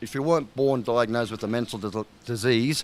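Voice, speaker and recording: At a fairly quick pace, a man with an Australian accent speaks at a medium pitch with ordinary pitch variation. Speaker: fitness trainer. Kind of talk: interview.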